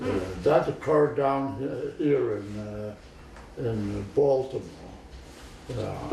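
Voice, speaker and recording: A man's very slow speech, broken by long, frequent pauses, with big swings in loudness over noticeable background noise. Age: 80s+. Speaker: retired physician. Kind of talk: interview answer. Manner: halting, hesitant.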